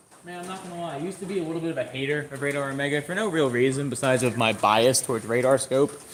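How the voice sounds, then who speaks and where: Against noticeable background noise, a man with a fairly high pitch speaks at a very fast pace with ordinary pitch variation. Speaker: storm chaser live streamer. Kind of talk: live stream commentary. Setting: outdoors on a bicycle. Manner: casual, halting.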